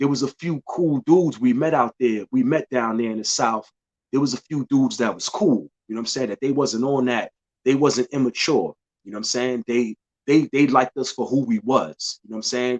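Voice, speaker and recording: With a New York accent, a man speaks at a fairly quick pace and medium pitch, with ordinary pitch variation, in a dry, close sound with no echo. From New York City, Bronx. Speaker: podcast host. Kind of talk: casual monologue.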